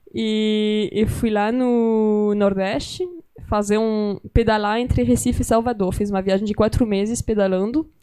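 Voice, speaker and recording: With a French accent, the speaker goes at a fairly slow pace using fairly even intonation. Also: woman. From France. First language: French (speaking Portuguese). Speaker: writer and documentary filmmaker. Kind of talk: interview conversation at a literary gathering. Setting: library event with live audience.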